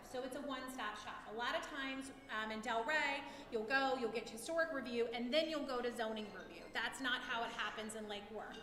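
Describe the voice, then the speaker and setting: Speaking in a raised, projected voice at a high pitch, a woman moves at a fairly quick pace with ordinary pitch variation, over noticeable background noise and audible room echo. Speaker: city planning official. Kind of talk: public presentation at neighborhood meeting. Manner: loud.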